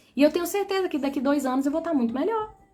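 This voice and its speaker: Over music in the background, a woman speaks with a high pitch. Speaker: spiritual coach. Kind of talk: live stream talk.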